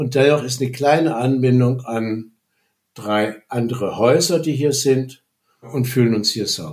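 His voice is somewhat breathy. This man's pitch sits in the medium range. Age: 60s. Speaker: retired business economist and communication trainer. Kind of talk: personal testimony. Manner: halting.

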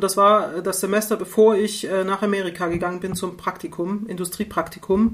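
Delivered in a monotone, flat intonation, the speech keeps to a moderate pace. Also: woman, medium pitch for a woman, hardly any pauses. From East Germany, Rostock. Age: 50s. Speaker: university engineering researcher. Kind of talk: casual interview conversation. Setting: online call.

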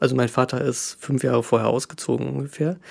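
A man talking at medium pitch. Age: 30s. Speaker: podcast guest sharing personal story. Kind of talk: casual chat.

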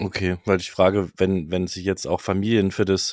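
On a very clean recording with a silent background, a man speaks with a very deep, low pitch and monotone, flat intonation, in a dry, close sound with no echo. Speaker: camping podcast co-host. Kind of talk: casual chat.

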